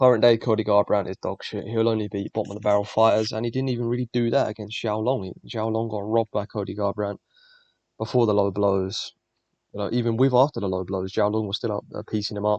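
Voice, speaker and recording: Very fast speech from a man at a fairly low pitch, dry and close with no echo. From England. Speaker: MMA YouTuber. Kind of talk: fight predictions monologue. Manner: animated.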